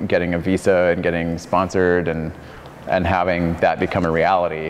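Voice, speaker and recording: There is noticeable background noise as a man speaks. He has a very deep, low voice, an American accent and a fairly quick pace. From Arizona. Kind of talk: casual interview.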